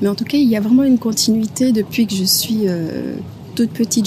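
With noticeable noise in the background, a woman speaks in a medium pitch that varies in an ordinary way. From Guadeloupe (Les Abymes). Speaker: orchestra conductor and musician. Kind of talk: interview. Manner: hesitant, many fillers.

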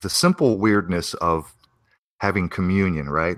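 A man with a very deep, low pitch speaks in a bright, sharp tone with ordinary pitch variation. The recording is very clean, the background silent. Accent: American. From Arizona, US (early childhood in Pennsylvania). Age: 40s. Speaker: musician and conspiracy podcaster. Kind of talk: casual interview. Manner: halting, many fillers.

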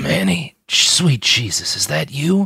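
A raspy, put-on character voice from a man, medium in pitch, fairly slow, with very wide pitch swings. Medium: read story. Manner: dark humor, literary.

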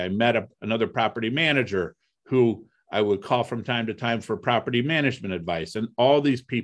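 A man with an American accent uses a normal speaking voice at a medium pitch, with ordinary pitch variation and a fairly quick pace. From US Midwest, Toledo, Ohio. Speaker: real estate investor. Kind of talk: interview.

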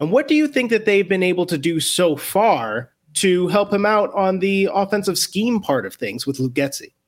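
Speaking at a moderate pace with hardly any pauses, a man uses a high pitch and very wide pitch swings. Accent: American. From Northwest Indiana, Chicago area. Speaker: sports podcast host. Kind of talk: casual sports chat.

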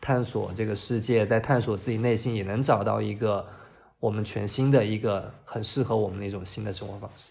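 A man at a fairly low pitch, somewhat breathy and monotone, fairly quick in pace, with big swings in loudness. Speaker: designer. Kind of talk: casual chat.

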